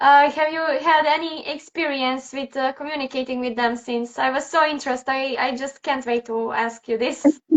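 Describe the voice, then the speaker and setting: A woman with a non-native accent and a high pitch speaks at a moderate pace. She barely pauses, and her intonation stays fairly even. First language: not English. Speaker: animal communicator. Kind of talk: casual chat. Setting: live video stream.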